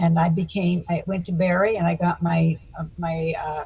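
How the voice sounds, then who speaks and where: A woman's fairly low, somewhat breathy voice with an American accent at a moderate pace. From US South (Florida, Miami Beach). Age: 80s+. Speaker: psychotherapist and speaker. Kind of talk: interview.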